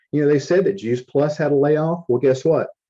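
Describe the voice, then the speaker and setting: This man has a fairly high pitch, a dark, mellow tone and ordinary pitch variation. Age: 60s. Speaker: company support staff, network marketing. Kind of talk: motivational talk. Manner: animated.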